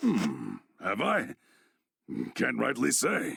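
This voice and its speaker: This man's voice is a put-on character voice. The sound is raspy. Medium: video game. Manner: gruff, plain-spoken, folksy.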